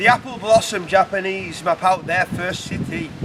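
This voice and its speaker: Over noticeable background noise, a man with a high pitch and ordinary pitch variation speaks at a fairly slow pace. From United Kingdom. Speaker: poet. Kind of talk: poetry reading.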